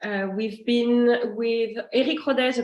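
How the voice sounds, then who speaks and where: In a French accent, a woman speaks with fairly even intonation and a fairly high pitch. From France. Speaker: master sommelier and wine importer. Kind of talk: online wine tasting presentation. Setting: online video session with screen share. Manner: hesitant, many fillers.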